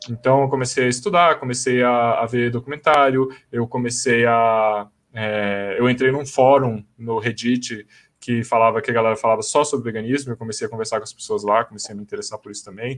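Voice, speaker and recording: This man has a plain, everyday voice at a medium pitch, talking at a fairly quick pace. His loudness swings widely. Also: fairly even intonation, quiet background. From Brasília, Brazil. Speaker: vegan YouTuber. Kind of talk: casual live-stream panel chat. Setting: online live stream.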